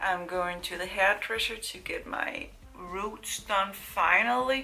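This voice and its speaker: A woman at medium pitch speaks at a very slow pace. Noticeable background noise and audible room echo surround her. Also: ordinary pitch variation. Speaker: beauty vlogger. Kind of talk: casual chat.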